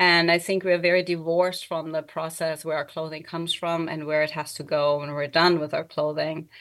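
A woman's fairly low voice with a German accent, fairly quick and flat in a monotone, with hardly any pauses. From Germany. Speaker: artist and educator. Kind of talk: interview, casual conversation. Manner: halting, self-correcting.

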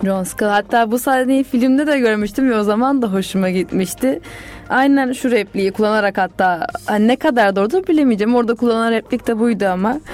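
Against noticeable background noise, a woman talks at a fairly quick pace with a fairly high pitch, very even loudness and ordinary pitch variation. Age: 20s. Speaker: student radio co-host. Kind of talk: casual chat.

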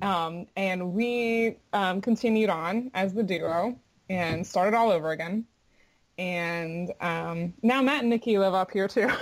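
A woman speaks at a fairly slow pace in an American accent, her pitch medium and its variation ordinary. It is an ordinary speaking voice. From Florida. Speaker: bluegrass singer. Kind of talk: casual interview chat.

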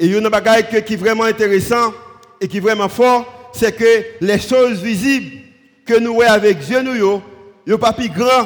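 Noticeable background noise sits behind a man with a high pitch. He talks fairly slowly with ordinary pitch variation. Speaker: pastor. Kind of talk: sermon.

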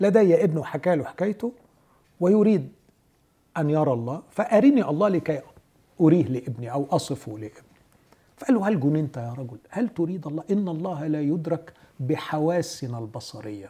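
At a moderate pace, a man with a fairly high pitch and a dark, mellow tone speaks with very wide pitch swings. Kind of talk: religious discussion.

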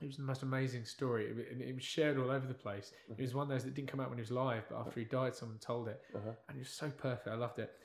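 Talking at a very fast pace with hardly any pauses, a man delivers his words in a monotone, flat intonation at medium pitch, somewhat breathy. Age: young. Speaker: podcast co-host reviewing movies. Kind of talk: casual chat.

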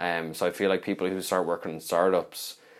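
A man's very deep, low voice with a Dublin accent, fairly quick and monotone, flat in intonation. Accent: Dublin Irish. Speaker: recruiter, podcast co-host. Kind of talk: casual chat.

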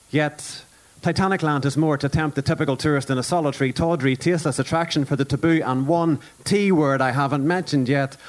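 Someone speaks with a Northern Irish accent over noticeable background noise. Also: man. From Northern Ireland. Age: 30s. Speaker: performance poet. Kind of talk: spoken word poetry performance. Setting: stage with audience, live broadcast.

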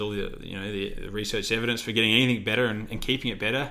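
Very fast speech in an Australian accent, with audible room echo. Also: man. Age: 20s. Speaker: physiotherapist and podcast co-host. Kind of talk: casual chat.

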